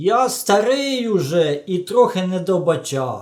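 A man's put-on character voice, pitched high. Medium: read story.

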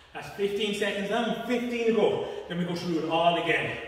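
Strong room echo surrounds a man's voice. He talks at a moderate pace with ordinary pitch variation. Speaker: fitness instructor. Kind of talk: workout instruction. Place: gym. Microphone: camera far.

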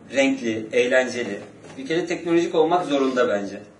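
At a fairly quick pace, a man speaks with ordinary pitch variation amid audible room echo. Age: 30s. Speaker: street interviewee; interviewee. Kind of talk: street interview. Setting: outdoors on the street. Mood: relaxed, smiling. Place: meeting room. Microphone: camera far.

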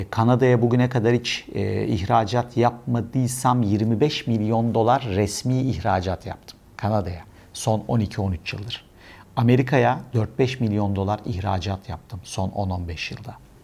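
With an unremarkable speaking voice, a man talks at medium pitch and a fairly slow pace with ordinary pitch variation. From Istanbul, Turkey. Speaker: e-export consultant and trainer. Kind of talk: casual monologue to camera.

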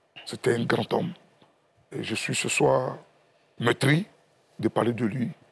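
Fairly slow delivery from a man, his pitch varying in an ordinary way. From Côte d'Ivoire. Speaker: party official; guest. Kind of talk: TV panel discussion. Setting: TV studio. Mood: solemn, mournful remembrance. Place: studio. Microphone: lapel.

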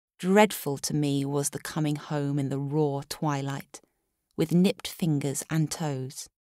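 A woman's very deep, low voice at a fairly slow pace, dry and close with no echo, in a very clean recording over a silent background. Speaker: voice actor. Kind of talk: narrative audiobook reading.

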